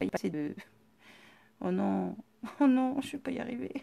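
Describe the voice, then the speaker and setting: Recorded very cleanly against a silent background, a woman talks fairly quickly in a dry, close sound with no echo. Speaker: scrapbooking workshop presenter. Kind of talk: live-stream tutorial.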